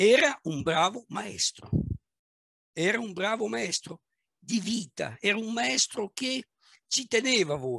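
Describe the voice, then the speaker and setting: Against a quiet background, a high-pitched man raises and projects his bright, sharp voice, speaking at a very slow pace with long, frequent pauses and very wide pitch swings. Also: dry sound with no echo. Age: 60s. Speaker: manager and business coach; speaker. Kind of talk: talk on leadership; guided visualization. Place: home room. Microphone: headset.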